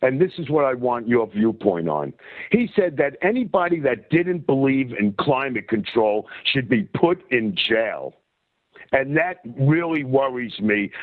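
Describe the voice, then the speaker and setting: Speaking fairly slowly with a New York accent, a man uses lively intonation at a medium pitch. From US Northeast, New York. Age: 60s. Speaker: caller. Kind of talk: call-in conversation. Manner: halting, many fillers.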